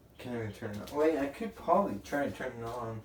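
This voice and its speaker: Noticeable background noise accompanies speech with ordinary pitch variation. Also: man. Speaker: tech tutorial youtuber. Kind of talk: casual tutorial. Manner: halting, many fillers.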